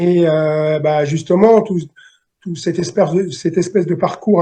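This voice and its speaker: A man with a high pitch speaks at a fairly slow pace. His tone is dark and mellow, his intonation fairly even. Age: 60s. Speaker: novelist. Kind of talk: interview. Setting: video call. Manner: halting.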